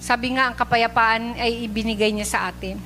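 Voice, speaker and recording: A woman's fairly high voice carries a warm, animated tone. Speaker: preacher. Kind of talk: sermon, preaching in Taglish to a live church congregation. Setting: church, live recording before a congregation. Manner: earnest and warm, with frequent 'uh' fillers and polite 'po' phrasing; animated, urging and exhorting the congregation.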